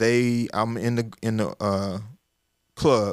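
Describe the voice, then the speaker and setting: A man with a Southern US accent in a very clean recording with a silent background. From US South, Arkansas. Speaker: communication coach and business founder. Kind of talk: casual interview storytelling. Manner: repetitive false starts.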